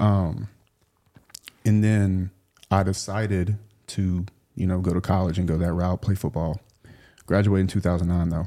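With a Southern US accent, a man speaks in a very deep, low, flat monotone at a moderate pace, leaving long, frequent pauses. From US South, South Louisiana. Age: 30s. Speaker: entrepreneur. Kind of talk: casual chat.

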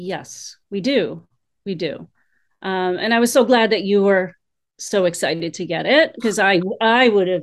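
Against a quiet background, a woman of medium pitch speaks at a fairly slow pace with lively intonation and long, frequent pauses. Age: 50s. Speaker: guest sharing personal story. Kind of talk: casual chat.

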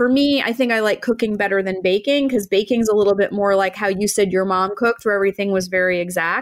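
Against a silent background in a very clean recording, a woman with a plain, everyday voice speaks at medium pitch with very even loudness, fairly even intonation and hardly any pauses. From Maine, US. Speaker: podcast host, interior designer. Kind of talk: scripted outro; casual interview chat.

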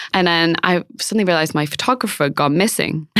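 A woman with a Manchester accent talks at a fairly quick pace, her pitch medium with ordinary variation. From northern England. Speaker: beauty brand co-founder and fashion correspondent. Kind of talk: casual interview chat.

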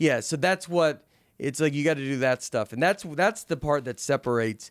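In a very clean recording with a silent background, a man with a Southern US accent speaks at a fairly high pitch. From US South. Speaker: comedian. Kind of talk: casual chat.

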